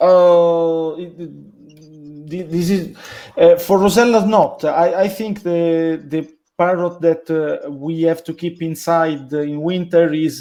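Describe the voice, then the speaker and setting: This man's voice is high-pitched with a dark, mellow tone. He speaks at a very slow pace. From Italy. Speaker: parrot breeder. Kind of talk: interview. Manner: halting.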